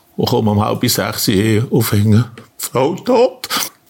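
A man at a medium pitch and a very slow pace. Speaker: farmer. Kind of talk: testimony.

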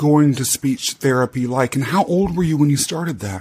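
With lively intonation and a fairly high pitch, this man has a normal speaking voice. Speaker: podcast host. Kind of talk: interview, casual chat.

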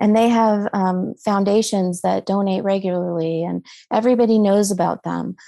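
A woman speaks with an American accent at a medium pitch. Her tone is dark and mellow. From Colorado. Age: 50s. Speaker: nonprofit co-founder. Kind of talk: casual chat. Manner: halting.

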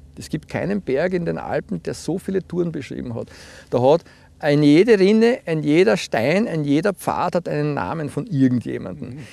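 With lively intonation and a dark, mellow tone, a man speaks at a moderate pace and a fairly high pitch. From Lower Austria, Puchberg am Schneeberg. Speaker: team-building trainer and social pedagogue. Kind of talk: casual interview. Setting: outdoors.

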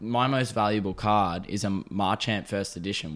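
In a very clean recording with a silent background, a man with an Australian accent speaks in a fairly low voice. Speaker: podcast host. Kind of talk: casual chat. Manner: loud; animated.

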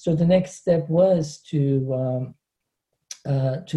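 With a Turkish accent, the speaker has a dark, mellow tone that is somewhat breathy, delivered at a very slow pace with fairly even intonation. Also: man. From Turkey, Antakya. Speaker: professor. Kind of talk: interview. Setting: video call.

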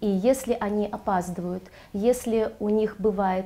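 A woman's dark, mellow tone at medium pitch, with fairly even intonation. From Riga, Latvia (born in Ganja, Azerbaijan). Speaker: children's theatre director and drama teacher. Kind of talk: interview. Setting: hotel, filmed studio-style.

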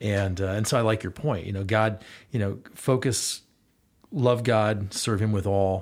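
A man with a plain, everyday voice speaks in an American accent at a fairly slow pace. His pitch sits fairly low, with fairly even intonation. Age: 40s. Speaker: youth basketball coach. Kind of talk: casual chat.

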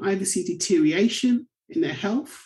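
Somewhat breathy and dark, mellow in tone, a woman with a southern English accent speaks at a moderate pace and medium pitch, with very wide pitch swings. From England, Bedford. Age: 40s. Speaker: community advocate. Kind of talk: interview.

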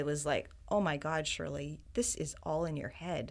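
A woman speaks with a Canadian accent at a moderate pace in a fairly low pitch, with an unremarkable speaking voice, in a very clean recording with a silent background. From Ontario, Canada. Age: 50s. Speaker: health community founder. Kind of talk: interview conversation.

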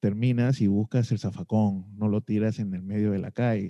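With a dark, mellow tone and fairly low pitch, a man talks with ordinary pitch variation in a dry, close sound with no echo over a quiet background. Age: middle-aged. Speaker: podcast host. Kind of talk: interview.

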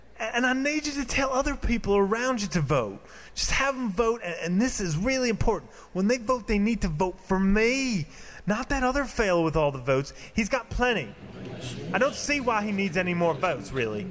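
A man puts on a whiny character voice, high in pitch with a whiny tone. His intonation is lively and his pace moderate. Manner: whiny, pleading.

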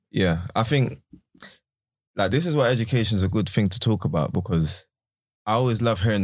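With a London accent, a man speaks at a fairly quick pace. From South London. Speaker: teacher. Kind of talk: casual chat.

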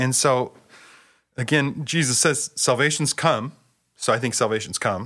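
A man with a West Coast US accent speaks at medium pitch and a moderate pace, his tone bright and sharp with ordinary pitch variation and very even loudness. Long, frequent pauses break up his speech on a very clean recording with a silent background. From US Pacific Northwest (Bellingham, Washington). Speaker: seminary professor. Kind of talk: casual theological conversation.

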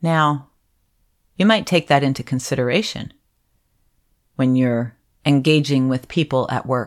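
With an American accent, a woman talks at a moderate pace in a very deep, low pitch with ordinary pitch variation, on a very clean recording with a silent background. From Upper Peninsula of Michigan, US. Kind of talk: solo podcast talk. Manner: animated.

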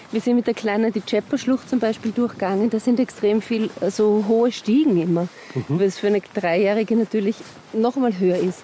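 Noticeable background noise sits behind a woman with a fairly high pitch. She speaks at a fairly quick pace with very even loudness. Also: ordinary pitch variation. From Austria, Vienna. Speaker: actress and musical singer. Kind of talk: casual chat. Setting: outdoors on a mountain walk.

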